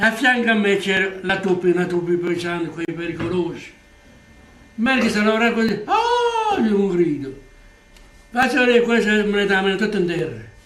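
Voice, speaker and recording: Long, frequent pauses break up this man's high-pitched speech. Noticeable background noise runs underneath. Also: ordinary pitch variation, moderate pace. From Polignano, Apulia, southern Italy. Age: 80s+. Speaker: former emigrant carpenter. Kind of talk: interview answer.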